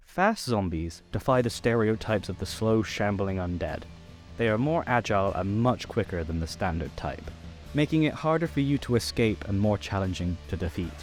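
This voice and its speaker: Music plays in the background as a man with a fairly low pitch talks with lively intonation. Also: moderate pace. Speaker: voice actor. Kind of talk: narrated tutorial.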